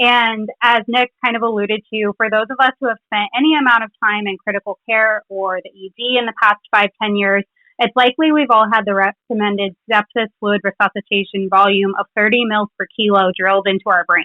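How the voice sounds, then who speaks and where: A woman with a fairly high pitch talks with hardly any pauses. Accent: slight Philadelphia. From Philadelphia, US. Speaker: clinical pharmacist. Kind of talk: scripted literature presentation.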